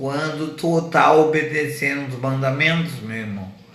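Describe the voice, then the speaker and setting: With noticeable background noise and audible room echo, a man talks at a fairly high pitch with very wide pitch swings. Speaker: evangelist preacher. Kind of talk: sermon. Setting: radio broadcast from wheelchair.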